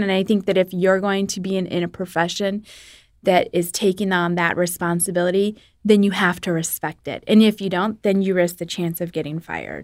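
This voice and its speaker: In a very clean recording with a silent background, a woman speaks fairly quickly in an ordinary speaking voice, at medium pitch with fairly even intonation. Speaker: radio host. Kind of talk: casual panel discussion.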